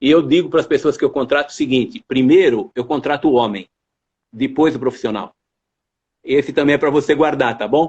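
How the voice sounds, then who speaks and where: In a quiet setting, a man with a fairly high pitch talks at a fairly quick pace, showing ordinary pitch variation and very even loudness, broken by long, frequent pauses. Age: 60s. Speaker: university rector. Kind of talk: interview.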